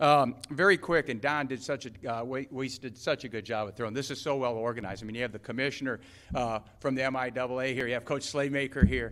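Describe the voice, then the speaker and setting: Very fast delivery with fairly even intonation. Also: man, medium pitch for a man. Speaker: college basketball head coach. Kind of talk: press conference speech. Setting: press conference room with audience.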